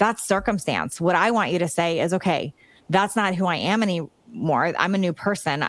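In an American accent, a woman with an ordinary speaking voice talks at medium pitch and a moderate pace, with ordinary pitch variation, on a very clean recording with a silent background. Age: 50s. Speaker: fitness coach and author. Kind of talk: interview.

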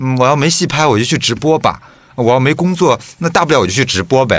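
Medium pitch from a man, an unremarkable speaking voice with lively intonation. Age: 30s. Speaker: podcast co-host. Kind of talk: casual chat.

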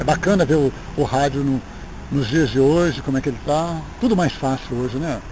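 Over noticeable background noise, a man speaks in a fairly high pitch with ordinary pitch variation. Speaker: radio announcer. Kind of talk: interview, reminiscing. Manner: halting, repeats words.

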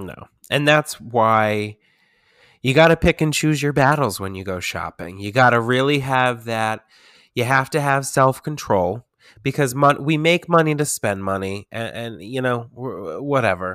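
A man with an unremarkable speaking voice and a medium pitch talks at a fairly slow pace, his intonation lively and his loudness swinging widely, in a dry, close sound with no echo. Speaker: podcast host. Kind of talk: casual chat. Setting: remote virtual recording.

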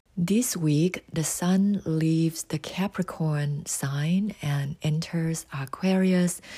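A very slow pace with hardly any pauses, on a very clean recording with a silent background. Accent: Thai. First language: Thai. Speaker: astrology podcaster. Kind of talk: scripted narration.

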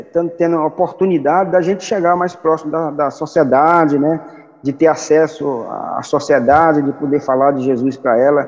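Moderate pace from a man with a fairly high voice and ordinary pitch variation. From Piauí, Brazil (Regeneração). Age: 50s. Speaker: pastor and church planter. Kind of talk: interview testimony.

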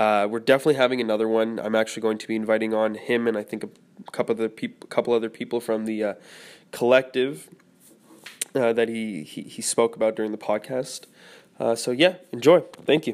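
Talking very fast at a medium pitch, a man shows ordinary pitch variation and big swings in loudness. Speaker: podcast host. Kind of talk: casual interview chat.

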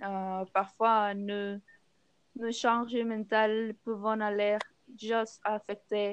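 A woman at a very slow pace with monotone, flat intonation. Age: 20s. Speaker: philosophy teacher. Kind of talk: panel debate. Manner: hesitant, many fillers.

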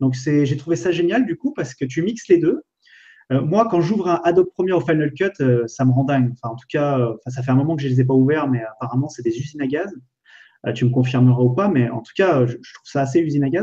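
Very fast speech comes from a man with a fairly high pitch. He sounds somewhat breathy, and his pitch varies in an ordinary way. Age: 30s. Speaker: entrepreneur and web video creator. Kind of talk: casual live stream chat. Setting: online live video stream.

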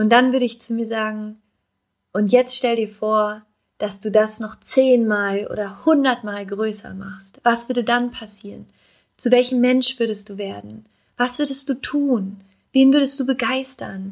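In a very clean recording with a silent background, a woman talks in a plain, everyday voice, pitched fairly high. Her pace is fairly slow, her intonation fairly even, and her loudness swings widely. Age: 20s. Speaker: podcast host and life coach. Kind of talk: solo podcast monologue.

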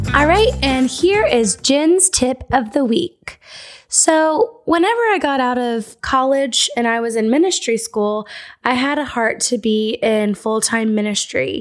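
A woman's high-pitched voice at a fairly slow pace, lively in intonation, in a very clean recording with a silent background. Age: 20s. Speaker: podcast host. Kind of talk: casual chat.

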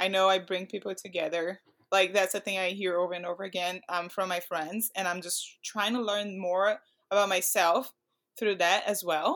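On a very clean recording with a silent background, a woman with a Portuguese accent speaks at a moderate pace in a medium pitch with monotone, flat intonation. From Brazil. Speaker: pro climber. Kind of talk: casual interview.

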